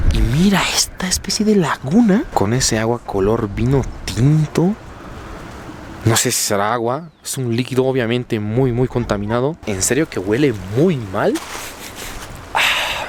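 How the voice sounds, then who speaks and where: A man at a medium pitch speaks at a fairly slow pace with lively intonation and long, frequent pauses over noticeable background noise. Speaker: travel vlogger. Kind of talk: on-location vlog narration. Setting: outdoors by a river. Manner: animated.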